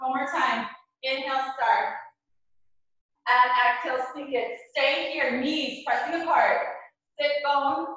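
Ordinary pitch variation carries through strong room echo over a quiet background. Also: woman. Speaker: fitness instructor. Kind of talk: live-streamed power yoga class, giving cues. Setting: video call, live online class from home gym. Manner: brisk, rhythmic, energetic; short imperative cues timed to breath. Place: home room. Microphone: camera far.

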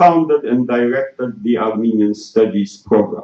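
A man's medium-pitched voice in a French accent, dark and mellow in tone, with lively intonation and audible room echo. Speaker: conference moderator. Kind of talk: formal introduction. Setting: stage with audience. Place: hall.

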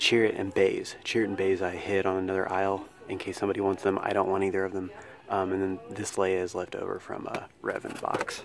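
Over light background noise, a man talks at a very fast pace with monotone, flat intonation and a dry sound with no echo. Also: fairly low pitch for a man. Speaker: toy collector vlogger. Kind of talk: casual vlog chat. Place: shop. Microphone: phone near.

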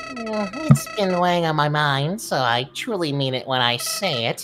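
A female-sounding voice delivers a put-on character voice at a fairly slow pace. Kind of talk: video game voice acting. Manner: chummy, sly, mock-friendly.

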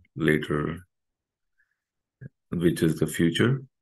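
A man with a very deep, low pitch. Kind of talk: guided meditation instruction. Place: home room. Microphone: webcam.

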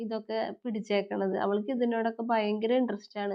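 A normal speaking voice from a woman, fairly high in pitch, with fairly even intonation. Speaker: family vlogger. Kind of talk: vlog narration. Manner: chatty, conversational.

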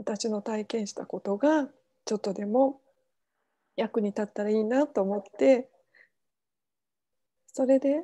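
With a dark, mellow tone, a woman speaks fairly slowly in a fairly high voice, showing ordinary pitch variation and long, frequent pauses.

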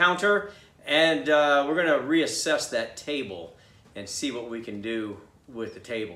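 Audible room echo surrounds a man's voice, which has a bright, sharp tone. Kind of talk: tutorial. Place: workshop.

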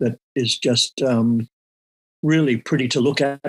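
A man speaks with fairly even intonation, and the sound is dry and close with no echo. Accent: Australian. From Australia. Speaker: surfboard shaper and former surf champion. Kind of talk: casual interview.

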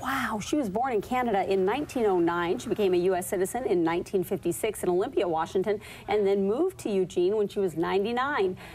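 Over noticeable background noise, a woman at medium pitch talks very fast with lively intonation and hardly any pauses. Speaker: TV news anchor. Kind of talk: local TV news banter.

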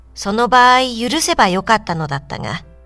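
Over music in the background, a woman with a fairly high pitch speaks with lively intonation. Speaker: audiobook reader. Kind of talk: literary reading for adults, audiobook narration.

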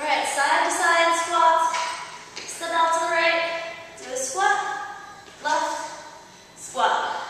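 A raised, projected voice speaks at a very slow pace with fairly even intonation, amid strong room echo and light background noise. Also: woman. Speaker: fitness instructor. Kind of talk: workout instruction.

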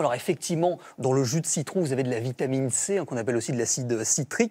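A man's fairly high voice has a dark, mellow tone. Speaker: beauty columnist and journalist. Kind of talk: TV column explanation. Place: studio. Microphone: lapel.

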